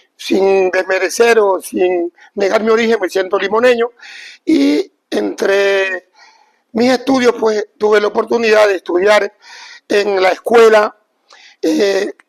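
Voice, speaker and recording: A man with a high-pitched voice talks very slowly, leaving long, frequent pauses. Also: ordinary pitch variation, dry, close sound with no echo. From Ecuador, Esmeraldas coast (Limones, Eloy Alfaro). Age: 70s. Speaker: former professional footballer. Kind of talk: interview.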